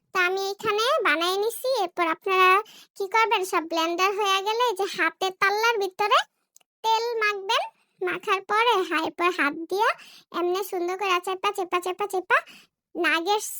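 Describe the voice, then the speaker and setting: Squeaky and at an extremely high pitch, a woman speaks at a moderate pace. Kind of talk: comic cooking-show parody. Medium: solo performance. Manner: fast, chatty, jokey.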